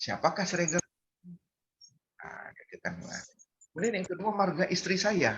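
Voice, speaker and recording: A man speaks at a fairly quick pace, with vocal fry in his voice. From North Sumatra, Medan (Batak). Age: 60s. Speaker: community member sharing Batak culture. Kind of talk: online community gathering talk. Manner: halting, many fillers.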